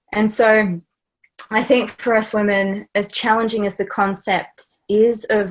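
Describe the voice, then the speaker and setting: The speaker talks with an Australian accent. The background is quiet. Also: woman. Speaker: life and business coach. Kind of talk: interview conversation.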